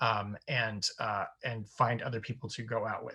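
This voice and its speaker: A man speaks at a medium pitch in a monotone, flat intonation. The recording is very clean with a silent background. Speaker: therapist and sex and tech educator. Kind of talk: workshop talk. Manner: fast.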